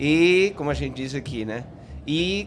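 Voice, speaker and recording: Amid noticeable background noise and audible room echo, a man's pitch swings very widely. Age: 60s. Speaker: psychologist. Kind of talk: podcast interview. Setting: live event stage at a festival.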